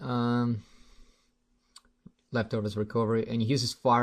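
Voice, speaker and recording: Man with a non-native accent and medium pitch, against a quiet background. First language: not English. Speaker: gaming commentator. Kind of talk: live commentary. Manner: halting; casual.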